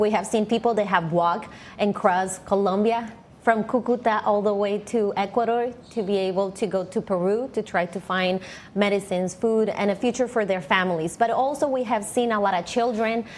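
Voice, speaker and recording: Delivered at a fairly quick pace with fairly even intonation, this is a plain, everyday voice. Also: woman. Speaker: news correspondent. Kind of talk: live news report answering anchor questions.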